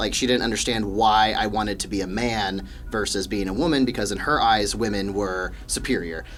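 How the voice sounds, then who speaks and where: With music in the background and audible room echo, a man with an American accent and a fairly low pitch talks with hardly any pauses and ordinary pitch variation. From US Midwest (Wichita, Kansas). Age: 20s. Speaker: graduate student and gym worker. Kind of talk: podcast interview. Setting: studio.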